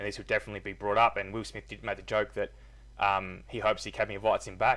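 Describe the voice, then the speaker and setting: In an Australian accent, a man speaks at a very fast pace. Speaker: gaming youtuber commentator. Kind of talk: casual opinion vlog. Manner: hesitant, filler words.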